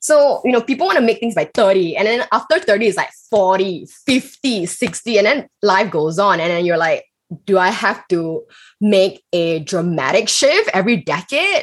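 At a fairly slow pace, a woman with medium pitch and lively intonation speaks in an unremarkable speaking voice. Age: 30s. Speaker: corporate entrepreneur. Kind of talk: casual chat.

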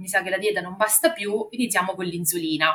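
A woman at a medium pitch with a slight Marche accent at a very fast pace. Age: 30s. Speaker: mother and office worker. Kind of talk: testimony.

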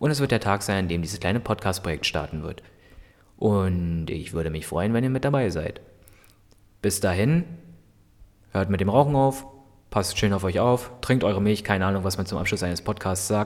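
The speaker keeps a moderate pace and ordinary pitch variation but leaves long, frequent pauses. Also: man, fairly low pitch for a man. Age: 20s. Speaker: podcaster. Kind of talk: solo podcast monologue. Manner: halting, many fillers.

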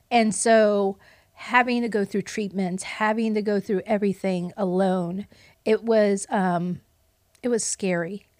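In a normal speaking voice, a woman talks at a fairly slow pace and medium pitch with fairly even intonation, on a very clean recording with a silent background. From Puerto Rican heritage, US. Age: 50s. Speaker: best-selling author and entrepreneur. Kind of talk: casual interview.

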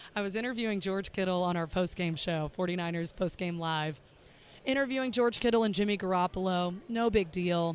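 Spoken with a Southern US accent at a moderate pace, the voice shows ordinary pitch variation on a very clean recording with a silent background. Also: woman, medium pitch for a woman. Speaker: sports broadcaster. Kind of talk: casual chat.

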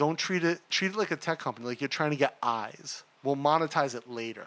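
A plain, everyday voice from a man, fairly high-pitched for a man, at a moderate pace. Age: 40s. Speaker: podcast host and tech entrepreneur. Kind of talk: casual interview chat.

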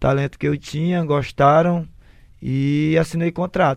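Against a quiet background, the speaker moves at a fairly slow pace with fairly even intonation. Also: man. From Fortaleza, Ceará, Brazil. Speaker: retired footballer. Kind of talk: interview. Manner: halting.

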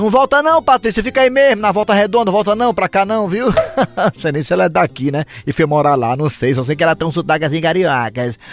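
A man talks fairly quickly in a high voice with very wide pitch swings. The sound is dry and close with no echo, though background noise is noticeable. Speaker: radio host. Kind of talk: sports segment on radio; comedic radio show banter. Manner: animated.

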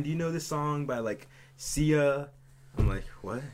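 A man speaks with a fairly high pitch. His pace is moderate. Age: 20s. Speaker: podcast co-host. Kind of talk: casual chat. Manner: loud.

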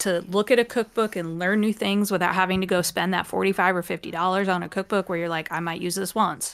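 A woman with a normal speaking voice, medium pitch, fairly even intonation, a fairly quick pace and hardly any pauses. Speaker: podcast co-host. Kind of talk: casual chat. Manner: chatty, laughs often.

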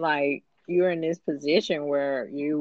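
A woman with an American accent speaks at a very deep, low pitch and a fairly slow pace. Her pitch variation is ordinary. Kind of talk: casual chat.

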